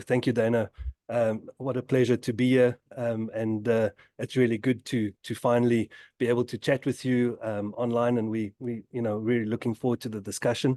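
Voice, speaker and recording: A dark, mellow voice in a South African accent holds a monotone, flat intonation at a moderate pace, with a dry, close sound and no echo. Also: man, medium pitch for a man. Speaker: tech company innovation lead. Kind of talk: webinar discussion. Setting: video webinar. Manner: halting, many fillers.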